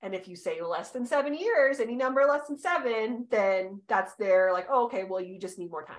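A woman with an unremarkable speaking voice talks at a moderate pace in a fairly high pitch, with hardly any pauses and big swings in loudness. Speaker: podcast co-host, human design reader. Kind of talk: casual chat.

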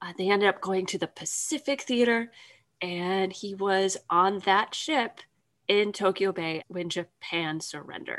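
A normal speaking voice from a woman at a medium pitch, fairly slow, with ordinary pitch variation. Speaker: podcast host. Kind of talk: casual chat.

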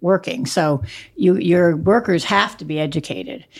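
A woman speaks with a very deep, low pitch and vocal fry. Her pitch swings very widely at a moderate pace. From Rhode Island. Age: 70s. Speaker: dairy farmer and cheesemaker. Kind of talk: interview conversation.

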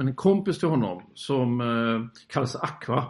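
A normal speaking voice comes from a man at medium pitch with ordinary pitch variation. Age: 50s. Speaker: landscape photographer. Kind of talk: interview.

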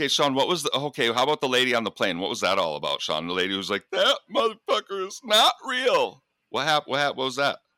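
Speech comes very fast in an American accent with hardly any pauses. The recording is dry and close with no echo. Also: man. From US Upper Midwest (Michigan, Minnesota). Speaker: podcast co-host. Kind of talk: casual chat.

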